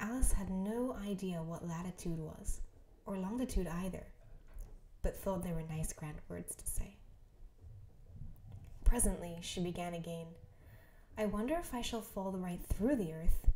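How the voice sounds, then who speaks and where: A soft-spoken woman with a dark, mellow, calm tone and a somewhat breathy quality speaks with long, frequent pauses and big swings in loudness. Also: medium pitch for a woman, ordinary pitch variation, moderate pace. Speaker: ASMR creator. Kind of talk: bedtime story reading. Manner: softly spoken, calm.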